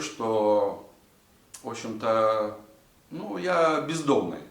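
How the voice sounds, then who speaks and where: A man speaks at a very slow pace. Room echo is audible, along with noticeable background noise. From Latvia. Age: 60s. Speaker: vlogger. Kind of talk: casual monologue to camera. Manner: halting, many filler sounds.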